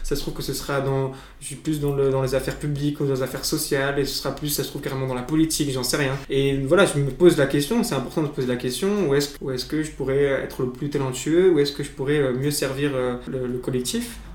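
A man speaks at a very fast pace with a fairly high pitch. There is audible room echo and noticeable background noise. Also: ordinary pitch variation. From France, Blois (Loir-et-Cher). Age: 20s. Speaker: student on a cycling tour. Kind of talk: interview. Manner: halting, many fillers and repetitions.

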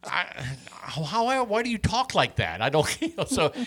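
This man speaks in a high pitch with an American accent and a bright, sharp tone. His pitch swings very widely. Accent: slight Midwestern accent, others notice it. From Wisconsin. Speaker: podcast host interviewing musician. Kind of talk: casual interview chat.

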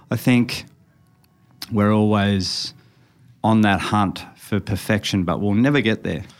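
A man's fairly low voice in an Australian accent, at a fairly slow pace with long, frequent pauses. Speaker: tattoo artist. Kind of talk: casual chat. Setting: studio.

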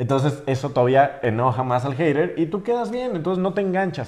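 This man talks at a very fast pace. His intonation is lively. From Mexico, Jalisco (San Juan de los Lagos). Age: 20s. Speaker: social media influencer. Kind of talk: interview podcast.

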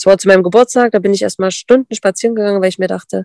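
Recorded dry and close with no echo, a woman's medium-pitched voice has a dark, mellow tone and ordinary pitch variation. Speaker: dog sport competitor and breeder. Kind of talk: casual interview.

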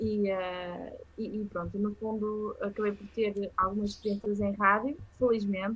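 Her intonation is monotone and flat. This woman's pitch lands at a medium level. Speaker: journalist. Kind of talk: casual interview. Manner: hesitant, many fillers.

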